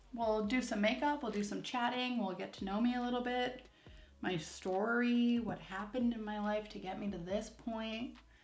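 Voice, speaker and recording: A woman talks at a fairly slow pace with a fairly high pitch and ordinary pitch variation. Audible room echo surrounds her voice. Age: 20s. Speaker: beauty vlogger. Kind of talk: casual chat while doing makeup. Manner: peppy, upbeat; frequent filler 'um's.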